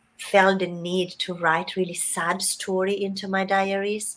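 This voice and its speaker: In an Italian accent, a woman speaks at a fairly slow pace with a medium pitch and monotone, flat intonation. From Italy. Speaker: writing mentor. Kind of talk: interview.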